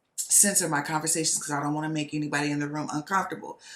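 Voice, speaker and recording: Her voice is very deep and low for a woman, with an animated tone. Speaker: podcast host and nurse. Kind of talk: casual monologue. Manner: loud.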